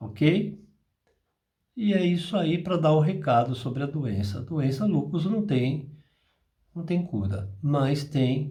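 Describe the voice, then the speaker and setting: A somewhat breathy, dark and mellow voice rises and falls with lively intonation amid audible room echo. The pace is very slow, with long, frequent pauses. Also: man, fairly high pitch for a man. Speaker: spiritist apometry channel host. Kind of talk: spiritual talk. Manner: slower than usual today.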